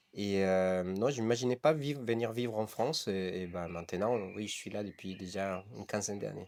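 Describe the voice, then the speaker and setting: A man with a fairly low pitch talks at a moderate pace with ordinary pitch variation and hardly any pauses, on a very clean recording with a silent background. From Costa Rica, San Isidro El General. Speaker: coffee roaster, entrepreneur. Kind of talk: interview. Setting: coffee roasting workshop. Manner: halting, many hesitations.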